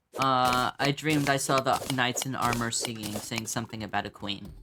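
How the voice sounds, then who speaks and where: The speech comes at a moderate pace over noticeable background noise. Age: 20s. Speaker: gaming streamer. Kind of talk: casual gameplay commentary. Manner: rambling, halting with fillers.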